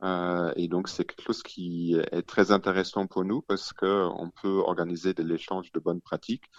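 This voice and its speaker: Very deep and low, a man's voice moves at a moderate pace with monotone, flat intonation. The sound is dry and close with no echo, and the background is quiet. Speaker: city official. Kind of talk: radio interview.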